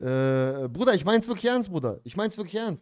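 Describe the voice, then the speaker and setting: Talking at a very fast pace, a man uses a high pitch and lively intonation. The background is quiet. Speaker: streamer reacting to a video. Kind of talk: angry rant in a livestream reaction, casual street slang. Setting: livestream. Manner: animated, emphatic, indignant, peppered with slang like 'Dicker' and 'Bruder'. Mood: earnest, self-critical ranting. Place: home room. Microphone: studio mic.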